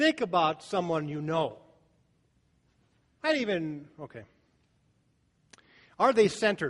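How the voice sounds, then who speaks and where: A man with an American accent talks at a fairly slow pace, leaving long, frequent pauses. His pitch is high, his intonation lively, and his loudness swings widely. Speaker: pastor. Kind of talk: sermon.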